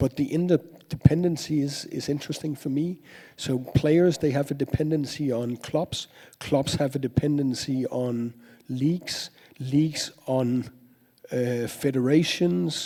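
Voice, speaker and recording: At a fairly slow pace, a man talks in a fairly high voice with a dark, mellow tone and ordinary pitch variation. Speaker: sports business academic. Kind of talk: panel discussion. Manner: halting.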